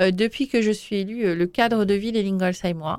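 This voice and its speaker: Over a silent background in a very clean recording, a woman speaks very slowly at medium pitch with ordinary pitch variation. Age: 40s. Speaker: mayor. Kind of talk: interview.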